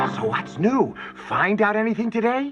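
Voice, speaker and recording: A cartoonish character voice with a fairly high pitch moves at a moderate pace while faint music plays in the background. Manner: playful, giggly.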